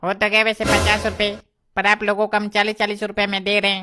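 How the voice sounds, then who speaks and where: A cartoonish character voice, female-sounding at a medium pitch, rattles along at a very fast pace in flat, monotone intonation. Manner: pushy, salesy.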